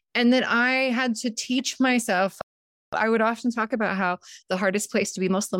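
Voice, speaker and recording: Speaking at a fairly quick pace, a woman has a fairly high pitch and ordinary pitch variation. The recording is very clean, with a silent background. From San Diego, California. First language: Montenegrin. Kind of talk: interview conversation.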